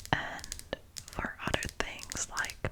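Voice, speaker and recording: Someone is whispering at a very slow pace over noticeable background noise. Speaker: ASMR creator. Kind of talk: ASMR this-or-that answers, casual talk. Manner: whispered, soft-spoken.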